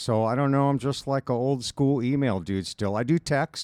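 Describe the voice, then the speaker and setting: A man uses a normal speaking voice with an American accent and ordinary pitch variation. The very clean recording has a silent background and a dry, close sound with no echo. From US West Coast, Los Angeles County, California. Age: 60s. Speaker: drummer and drum shop owner. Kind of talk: casual chat.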